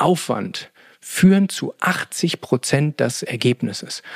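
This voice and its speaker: With lively intonation, a man speaks at a very slow pace in a dry, close sound with no echo. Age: 40s. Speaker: podcast host, energy and sleep coach. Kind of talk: solo podcast talk. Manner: frequent filler sounds (äh).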